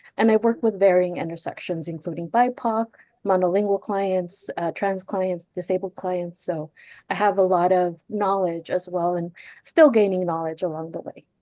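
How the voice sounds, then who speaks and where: A woman talks at a moderate pace with a medium pitch. Her intonation is fairly even. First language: Spanish. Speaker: clinical psychology doctoral student. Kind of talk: webinar self-introduction.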